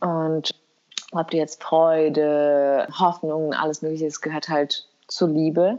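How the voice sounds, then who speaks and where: A woman's very deep, low voice in a monotone, flat intonation at a very slow pace. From Kosovo. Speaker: podcast co-host. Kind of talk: casual chat. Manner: halting.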